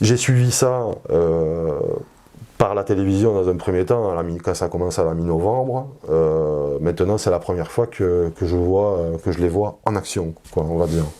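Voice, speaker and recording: A man's very deep, low voice with a dark, mellow tone at a fairly slow pace. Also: ordinary pitch variation. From southern France, Perpignan. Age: 40s. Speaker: political activist. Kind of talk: interview testimony. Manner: halting, many hesitations.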